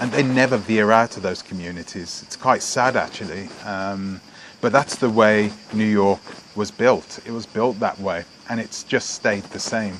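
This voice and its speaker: Amid noticeable background noise, a man with a British accent speaks fairly slowly at a fairly low pitch with fairly even intonation. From England (British Jamaican). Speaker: vlogger. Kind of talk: casual vlog monologue. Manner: halting, many fillers and restarts.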